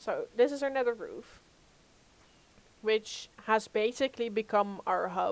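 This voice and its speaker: A woman's fairly high voice with ordinary pitch variation, at a fairly slow pace broken by long, frequent pauses. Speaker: gaming streamer. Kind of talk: live gameplay stream chat. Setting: home, live stream.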